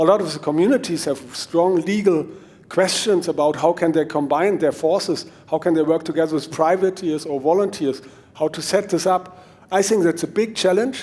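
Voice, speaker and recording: A man speaks with a German accent. His voice is high-pitched. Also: ordinary pitch variation, moderate pace. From Germany. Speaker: mountain bike trail consultant. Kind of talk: conference talk. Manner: halting.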